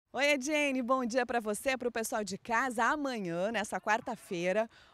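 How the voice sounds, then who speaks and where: A woman with a high pitch and ordinary pitch variation speaks at a moderate pace in an animated tone. The sound is dry, with no echo. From Rio Grande do Sul, Brazil. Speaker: TV sports reporter. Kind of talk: TV sports interview. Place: stadium. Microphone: handheld.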